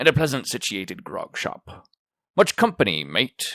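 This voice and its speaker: A man's put-on character voice, raspy and medium-pitched, at a moderate pace with a dry, close sound and no echo. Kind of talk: classic novel read aloud. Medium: read story. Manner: rough, fierce, commanding.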